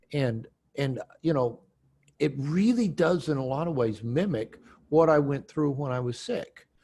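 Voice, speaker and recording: This man, with an American accent, speaks slowly-ish in a fairly high pitch, his tone dark, mellow and somewhat breathy, at a fairly slow pace. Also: lively intonation. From US Pacific Northwest, Seattle. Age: 60s. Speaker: author and therapist. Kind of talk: interview. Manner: halting, many repeated words.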